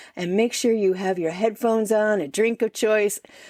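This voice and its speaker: In a dry, close sound with no echo, a woman with a plain, everyday voice speaks at a moderate pace and medium pitch with ordinary pitch variation. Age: 60s. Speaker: podcast host. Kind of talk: casual chat.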